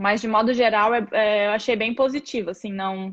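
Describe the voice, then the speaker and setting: A woman speaks at a moderate pace with fairly even intonation. Her pitch is fairly high, and the background is quiet. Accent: Brazilian. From Brazil. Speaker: physiotherapist. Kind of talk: live video chat.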